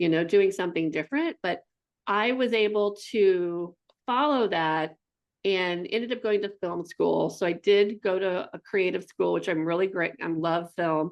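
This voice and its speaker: Moderate pace and medium pitch from a woman, with ordinary variation in pitch. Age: 60s. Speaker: artist and speaker. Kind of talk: interview conversation. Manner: halting, many false starts.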